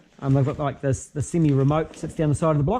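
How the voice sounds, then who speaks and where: A fairly high, dark, mellow, somewhat breathy male voice with a New Zealand accent at a fairly quick pace. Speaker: car mechanic. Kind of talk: tutorial. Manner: fast; casual, halting with fillers.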